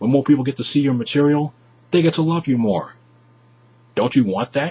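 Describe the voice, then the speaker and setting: A man talks fairly quickly at a fairly high pitch. His voice is somewhat breathy, with ordinary pitch variation. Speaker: YouTuber vlogger. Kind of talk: advice vlog to webcam. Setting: webcam in bedroom.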